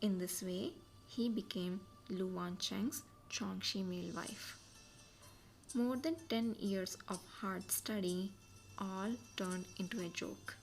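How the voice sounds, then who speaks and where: A woman speaks quietly at a very slow pace, with long, frequent pauses and ordinary pitch variation. Her pitch is medium, and music plays in the background. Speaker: amateur audiobook reader. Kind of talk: novel reading aloud, podcast. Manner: quiet, steady.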